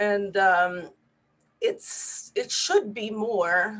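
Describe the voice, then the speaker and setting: Speaking in a Spanish accent, a woman talks at a medium pitch. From Puerto Rico. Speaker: neurologist. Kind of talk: webinar presentation.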